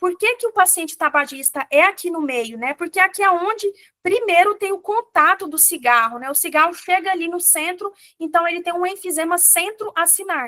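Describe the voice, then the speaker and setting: A woman's extremely high, bright, sharp voice, raised and projected, at a moderate pace with ordinary pitch variation, in a dry, close sound with no echo. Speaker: physician teaching exam prep. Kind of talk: lecture.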